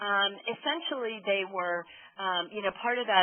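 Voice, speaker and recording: A woman speaks at a moderate pace in a medium pitch, with ordinary pitch variation. Noticeable background noise runs underneath. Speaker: opinion researcher presenting findings. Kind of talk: webinar presentation. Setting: conference call webinar.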